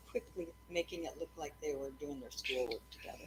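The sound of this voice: This woman talks at a fairly quick pace, her low-pitched voice carrying a slightly mellow tone.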